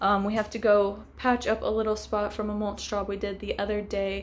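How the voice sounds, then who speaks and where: At a moderate pace, a woman speaks in a monotone, flat intonation. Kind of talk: casual vlog chat. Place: street. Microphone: phone near.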